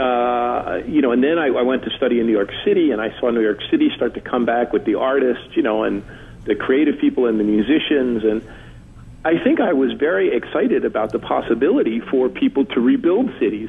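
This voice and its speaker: Over noticeable background noise, a man with an American accent talks at a fairly quick pace. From New Jersey, Newark. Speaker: urban studies author. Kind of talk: radio interview.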